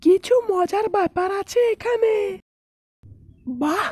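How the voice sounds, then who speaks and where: This is a cartoonish character voice with an extremely high pitch. It moves at a very slow pace. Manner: sly, self-satisfied.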